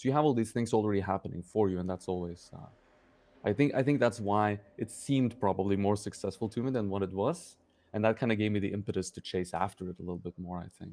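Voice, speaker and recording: A man talks at a very fast pace. His tone is dark and mellow, with a fairly low pitch. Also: ordinary pitch variation, quiet background. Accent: Norwegian. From Norway, Oslo. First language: Norwegian. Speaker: sculptor and sculpture teacher. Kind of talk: interview. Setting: studio. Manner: halting, many fillers.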